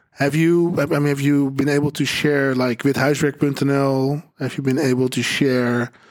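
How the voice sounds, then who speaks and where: Spoken in a Dutch accent, the delivery is monotone and flat, fairly slow, and very even in loudness. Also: man, fairly high pitch for a man. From Netherlands, Amstelveen. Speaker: podcast host, advertising agency owner. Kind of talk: live panel discussion. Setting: theater hall with live audience.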